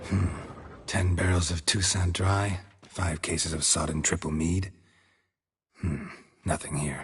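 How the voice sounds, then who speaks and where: Someone uses a put-on character voice at a moderate pace, with long, frequent pauses. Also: man, very deep, low pitch for a man. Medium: machinima. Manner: terse, deadpan.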